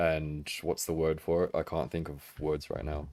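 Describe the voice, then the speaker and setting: Very slowly and in a monotone, flat way, a man with an Australian accent speaks at a very deep, low pitch on a very clean recording with a silent background. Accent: Australian, read by a viewer as English. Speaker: figure collecting livestreamer. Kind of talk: livestream chat. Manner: halting, many fillers and restarts.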